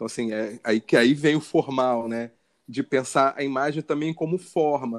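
A man's medium-pitched voice in a Carioca accent, dry and close with no echo, at a moderate pace with ordinary pitch variation. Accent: carioca Brazilian Portuguese. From Rio de Janeiro, north zone suburbs. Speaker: photographer and visual artist. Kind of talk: interview conversation. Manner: halting, many repetitions.

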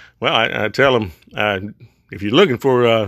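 Fairly quick and fairly even in intonation, a man speaks at a medium pitch. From US South. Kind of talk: monologue, religious podcast talk. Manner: halting, informal.

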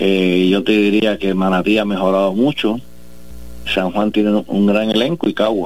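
This man has an unremarkable speaking voice, pitched fairly low, and his pitch varies in an ordinary way. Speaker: sports federation president. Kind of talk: interview.

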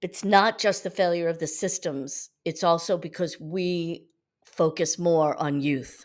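A woman's normal speaking voice, fairly low in pitch and fairly even in intonation, at a fairly slow pace in a very clean recording with a silent background. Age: 50s. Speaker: yoga teacher, podcast host. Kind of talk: spiritual teaching monologue.

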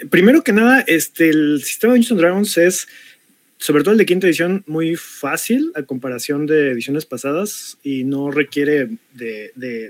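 Here a man talks in an ordinary speaking voice at a moderate pace. His pitch is fairly high and his intonation lively. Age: 40s. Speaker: tabletop RPG game master. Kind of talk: panel discussion.

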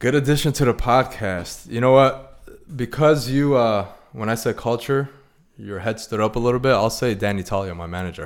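Speech at a moderate pace with ordinary pitch variation, on a very clean recording with a silent background. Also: man, medium pitch for a man. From Chicago. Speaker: mortgage loan officer. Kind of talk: casual interview. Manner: energetic.

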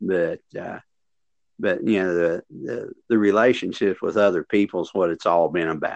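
Someone with an Appalachian accent speaks at a moderate pace with ordinary pitch variation, in dry, close sound with no echo and a quiet background. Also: man, very deep, low pitch for a man. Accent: Appalachian Southern US. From West Virginia, US. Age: 60s. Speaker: veteran PE teacher and workshop presenter. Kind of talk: casual interview.

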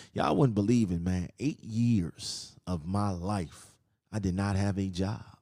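On a very clean recording with a silent background, a voice with a dark, mellow tone speaks at a fairly slow pace. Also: man, fairly low pitch for a man, ordinary pitch variation. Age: 30s. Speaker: podcast host. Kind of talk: personal monologue.

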